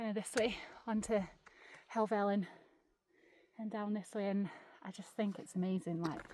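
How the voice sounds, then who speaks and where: A dark, mellow, monotone voice with flat intonation, in an English accent, at a fairly quick pace. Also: woman. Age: 30s. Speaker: outdoor vlogger. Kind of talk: casual vlog narration. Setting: outdoors on a mountain.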